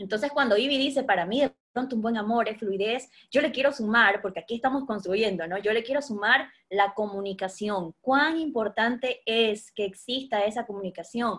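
A woman has a plain, everyday voice at a fairly high pitch. She talks at a moderate pace with hardly any pauses. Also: ordinary pitch variation. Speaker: podcast host, educator and life coach. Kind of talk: casual chat.

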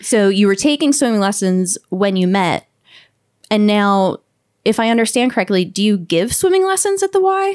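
Speaking in a plain, everyday voice at a moderate pace, a woman of medium pitch uses ordinary pitch variation and very even loudness, with a dry, close sound with no echo on a very clean recording with a silent background. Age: 30s. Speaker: podcast host. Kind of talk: interview.

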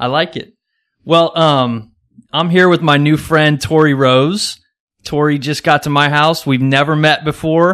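A man with an American accent speaks fairly slowly in a plain, everyday voice at a fairly high pitch. His intonation is fairly even, and the recording is very clean with a silent background. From Kansas. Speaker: podcast host. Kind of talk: casual interview. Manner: casual, chatty.

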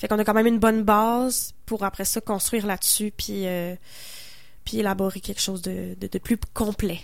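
A woman with a Quebec accent speaks at a moderate pace in a medium pitch, her intonation monotone and flat, with long, frequent pauses. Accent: Québécois French. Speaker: singer-songwriter. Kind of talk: casual interview on radio.

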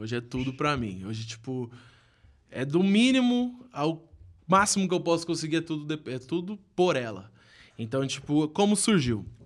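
On a very clean recording with a silent background, the speech moves at a moderate pace with very wide pitch swings. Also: man, fairly high pitch for a man. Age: 20s. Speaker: small business owner. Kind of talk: casual chat.

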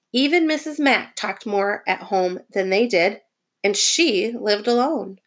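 Lively intonation in an unforced reading voice, with a quiet background

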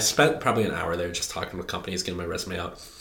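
A man with an American accent, very deep and low in pitch, bright and sharp in tone, at a very fast pace. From US Midwest. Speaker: computer science student. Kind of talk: casual chat.

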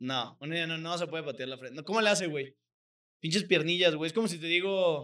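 This man has a high voice and a bright, sharp tone, with a Mexican accent. He talks fairly quickly with ordinary pitch variation. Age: 20s. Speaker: comedy podcast host. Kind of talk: casual comedic chat. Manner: animated.

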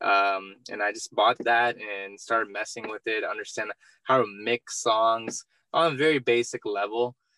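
In a dry, close recording with no echo, a man's medium-pitched voice has a bright, sharp tone and fairly even intonation. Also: moderate pace. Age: 20s. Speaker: entrepreneur and real estate investor. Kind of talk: interview.

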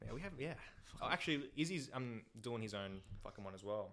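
A man with an Australian accent, talking at a very fast pace with lively intonation. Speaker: podcast guest. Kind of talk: casual chat.

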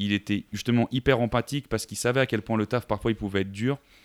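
Talking at a fairly quick pace with fairly even intonation, a man has an unremarkable speaking voice at medium pitch, and the sound is dry and close with no echo. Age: 20s. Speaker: sales manager and podcaster. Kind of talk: casual interview. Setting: remote call.

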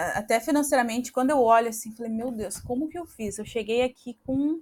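Her pitch varies in an ordinary way as a woman speaks at a high pitch. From southern Brazil, Paraná (Campo Largo near Curitiba). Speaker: Brazilian immigrant in Australia. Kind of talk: casual interview. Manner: halting, repeats words.

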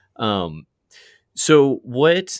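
Dry and close with no echo, the man's voice is heard. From small-town Virginia. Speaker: podcast host. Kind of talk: casual interview. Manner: halting, many fillers and repeats.

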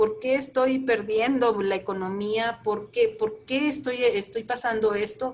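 The woman's fairly high voice keeps fairly even intonation while moving at a fairly slow pace. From northern Mexico, Chihuahua. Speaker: Buddhist practitioner. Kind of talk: interview. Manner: halting, many repetitions.

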